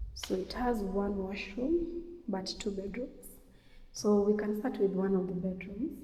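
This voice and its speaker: With noticeable background noise and audible room echo, a woman talks at a fairly slow pace in a medium pitch with lively intonation. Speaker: real estate agent. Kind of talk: property tour.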